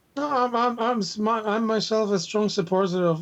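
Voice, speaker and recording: A man speaks with a Russian accent. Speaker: university instructor and linguist. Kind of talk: casual chat.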